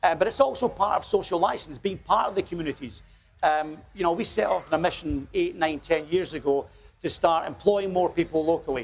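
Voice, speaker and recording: A man with a Scottish accent talks at a fairly quick pace in a high voice, his pitch rising and falling in an ordinary way. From Scotland, small village. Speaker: company executive. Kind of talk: TV interview. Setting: outdoors at a street festival. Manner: hesitant, many fillers.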